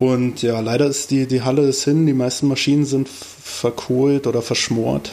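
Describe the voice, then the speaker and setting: At a moderate pace, a man speaks in a dark, mellow tone at medium pitch. His intonation is monotone and flat, and his loudness stays very even. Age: 30s. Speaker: podcast co-host, carpentry apprentice. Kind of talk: casual chat.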